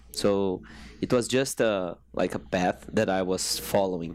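A man's very deep, low voice with a Brazilian Portuguese accent, lively intonation, and a fairly slow pace. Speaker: fitness coach. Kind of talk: interview. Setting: studio. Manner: halting.

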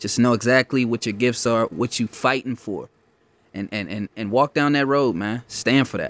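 An unremarkable speaking voice from a man, medium in pitch, with ordinary pitch variation and a moderate pace. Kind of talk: casual chat.

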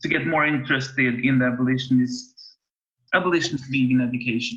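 A man's medium-pitched, bright, sharp voice at a moderate pace, with a Swedish accent. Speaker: podcast host. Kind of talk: interview. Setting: video call. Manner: halting.

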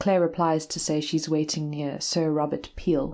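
A dark, mellow tone in a monotone, flat intonation at a moderate pace, on a very clean recording with a silent background. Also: woman. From South Africa, KwaZulu-Natal. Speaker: writer and university lecturer. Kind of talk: reading aloud of personal essay.

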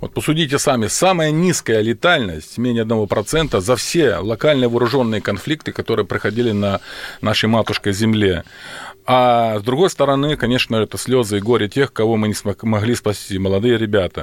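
At a moderate pace, a man talks in a plain, everyday voice with medium pitch and ordinary pitch variation. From Ukraine (Volhynia). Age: 50s. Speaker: military surgeon. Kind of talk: radio interview. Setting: studio. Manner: formal.

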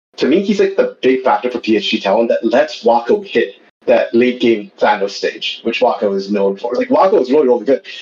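A man talks fairly quickly while noticeable background noise runs behind him. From Canada. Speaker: esports caster. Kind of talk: casual chat.

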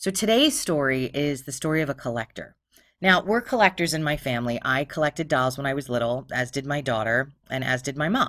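In a Philadelphia accent, a woman with very deep, low pitch speaks at a fairly quick pace with lively intonation on a very clean recording with a silent background. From Philadelphia, Pennsylvania. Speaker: true crime podcast host. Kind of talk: storytelling narration. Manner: casual, profane.

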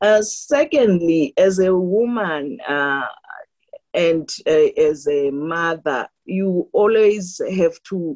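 A woman speaks very slowly at a medium pitch, her intonation lively. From rural South Africa. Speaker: law professor. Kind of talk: academic interview. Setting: phone call. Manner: hesitant, filler words.

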